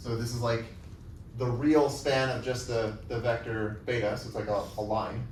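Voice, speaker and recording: There is audible room echo around a man speaking at a medium pitch with fairly even intonation. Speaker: university lecturer. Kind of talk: lecture. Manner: fast; halting, with fillers.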